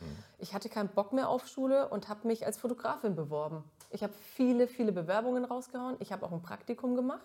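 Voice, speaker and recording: With a slight Franconian accent, a woman speaks at a very fast pace. Her fairly high voice carries lively intonation. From Middle Franconia, Germany. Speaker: TV presenter. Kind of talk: casual chat.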